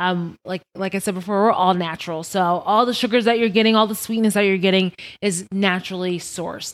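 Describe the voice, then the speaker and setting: With an American accent, this unremarkable speaking voice moves at a fairly quick pace with hardly any pauses. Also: woman, medium pitch for a woman, fairly even intonation. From Long Island, New York. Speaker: liqueur brand market manager. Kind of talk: casual chat. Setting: studio.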